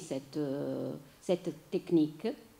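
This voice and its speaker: Speaking at a very slow pace, a woman has an Italian accent and a dark, mellow tone. Her pitch variation is ordinary. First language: Italian (speaking French). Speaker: theatre writer and journalist giving a lecture. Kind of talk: lecture. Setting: lecture hall with audience. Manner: halting, many hesitations.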